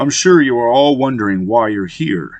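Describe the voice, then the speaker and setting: Putting on a character voice, a man talks at a moderate pace and medium pitch with lively intonation. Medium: read story. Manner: arrogant, aggressive.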